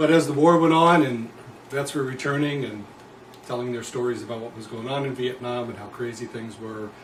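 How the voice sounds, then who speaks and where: A man talks with an American accent. There is audible room echo along with noticeable background noise. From New Jersey. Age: 60s. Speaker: former prisoner and anti-war activist. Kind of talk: interview.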